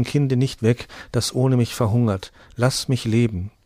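A man's dark, mellow voice carries a solemn, sad tone over fairly even intonation. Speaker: audiobook narrator. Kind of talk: dramatic fairy-tale narration, reading aloud. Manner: solemn, hushed and tender, slowing into a sad, gentle tone for the plague scene; storytelling, directly addressing listeners.

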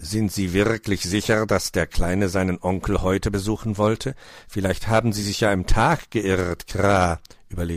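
Fairly even intonation in a plain read-aloud delivery.

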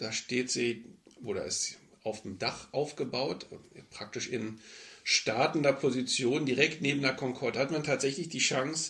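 Speaking at a fairly slow pace, a man keeps a medium pitch. His pitch variation is ordinary. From West Berlin. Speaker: air traffic controller. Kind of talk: interview. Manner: frequent fillers (äh, ähm).

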